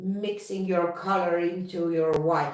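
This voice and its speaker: A woman speaks at a fairly slow pace in a fairly low voice. Room echo is audible. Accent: non-native. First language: not English. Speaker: fluid artist. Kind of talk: live stream chat. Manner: halting.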